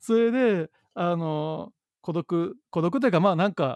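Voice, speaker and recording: The sound is dry and close, with no echo. The background is quiet. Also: man. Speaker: social entrepreneur, company head. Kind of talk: casual interview conversation.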